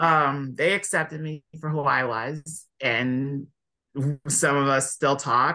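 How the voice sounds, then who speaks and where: Very slowly and with fairly even intonation, a man with a Californian accent speaks in a bright, sharp tone. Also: fairly high pitch for a man. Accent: American (Californian). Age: 20s. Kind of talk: casual interview chat.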